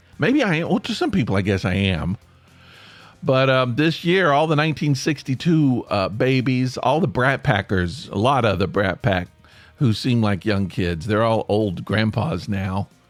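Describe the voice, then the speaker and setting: Against background music, a man with an American accent talks at a moderate pace and medium pitch, with very wide pitch swings and very even loudness. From US South, East Tennessee. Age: 60s. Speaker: podcast host. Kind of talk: casual monologue. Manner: halting.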